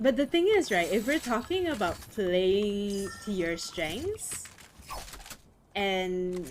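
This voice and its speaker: A loud woman's voice at medium pitch, very slow in pace, with very wide pitch swings. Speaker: podcast host and streamer. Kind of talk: casual chat.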